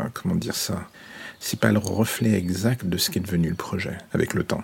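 The intonation stays fairly even. Background noise is noticeable. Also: man. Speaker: audio fiction narrator. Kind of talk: improvised solo monologue. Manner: fast.

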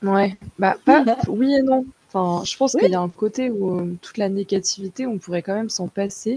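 Recorded dry and close with no echo, a woman speaks at a moderate pace in a medium pitch with ordinary variation, her tone dark and mellow, somewhat breathy, with big swings in loudness. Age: 20s. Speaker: podcast listener. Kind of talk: casual chat.

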